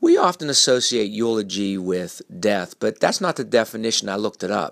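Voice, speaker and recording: In a very clean recording with a silent background and a dry, close sound with no echo, a man uses a warm tone with vocal fry, a fairly low pitch, lively intonation and a moderate pace. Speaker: motivational speaker. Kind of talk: short motivational talk about eulogy virtues, delivered as a polished radio-style segment. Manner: earnest, warm, reflective, with a steady persuasive cadence.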